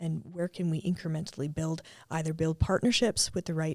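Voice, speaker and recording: In an East Coast Canadian accent, a woman speaks at a fairly low pitch and moderate pace, with a dry, close sound and no echo. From Atlantic Canada. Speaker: tech startup co-founder. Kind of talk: podcast interview. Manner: casual, with frequent fillers.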